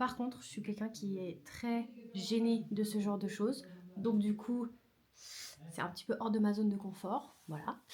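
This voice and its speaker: Somewhat breathy with a dark, mellow tone, a woman with a fairly high pitch speaks at a fairly slow pace with ordinary pitch variation. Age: 20s. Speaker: vlogger and photographer. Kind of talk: casual vlog. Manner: hesitant, many fillers.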